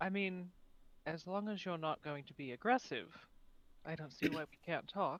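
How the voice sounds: Here a man speaks at a moderate pace. His tone is fairly bright and his pitch fairly high. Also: ordinary pitch variation.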